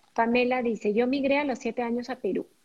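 With a fairly high pitch, a woman talks in a normal speaking voice. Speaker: podcast co-host. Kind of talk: casual chat.

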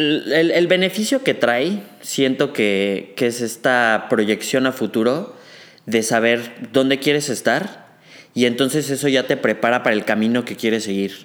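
Using an ordinary speaking voice, a man at medium pitch talks at a fairly slow pace with lively intonation. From Mexico City. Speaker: medical student. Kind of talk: casual chat.

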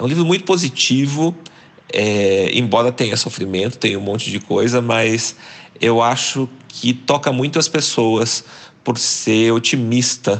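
This man has a normal speaking voice at a medium pitch. He talks fairly slowly with ordinary pitch variation. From Brazil, interior of Paraná (near Londrina). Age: 40s. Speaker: journalist and writer. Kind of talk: interview.

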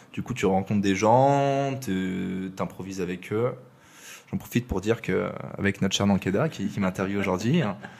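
A man with lively intonation, at a moderate pace. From southern France, Aix-en-Provence. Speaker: podcast guest, former coding bootcamp classmate. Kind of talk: casual interview conversation.

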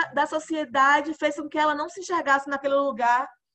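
A woman's raised, projected voice at an extremely high pitch, bright and sharp in tone. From Bahia, Brazil (interior, Alagoinhas). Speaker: podcast host. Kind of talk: casual interview.

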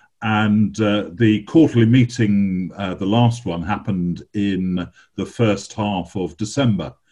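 Speaking fairly slowly with hardly any pauses, a man with an English accent keeps a fairly low pitch with ordinary variation. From England. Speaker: bishop. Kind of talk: interview. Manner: halting.

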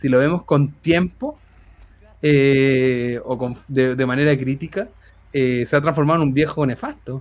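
A man speaks with fairly even intonation in a Chilean accent. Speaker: humor researcher and author. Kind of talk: casual chat.

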